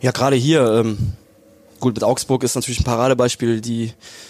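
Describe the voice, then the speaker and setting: Speaking fairly quickly, a man keeps a monotone, flat intonation. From southern Germany, Lake Constance area. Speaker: professional footballer. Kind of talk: casual interview. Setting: stadium box.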